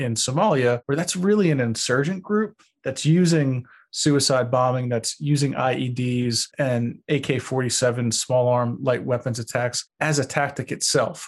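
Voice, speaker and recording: A man talks at a moderate pace. He has a New York accent. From Long Beach, New York. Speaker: terrorism researcher. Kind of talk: interview.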